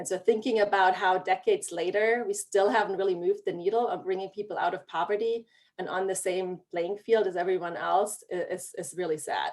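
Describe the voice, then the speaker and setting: Fairly even intonation in a German accent, with hardly any pauses. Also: woman, medium pitch for a woman, fairly quick pace. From Germany. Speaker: regional planning director. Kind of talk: panel discussion.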